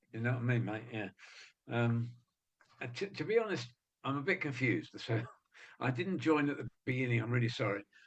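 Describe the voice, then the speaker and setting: A man speaks with an English accent at a fairly quick pace, his medium pitch moving with ordinary variation. His voice is somewhat breathy, broken by long, frequent pauses. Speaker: webinar attendee. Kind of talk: casual chat. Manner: halting.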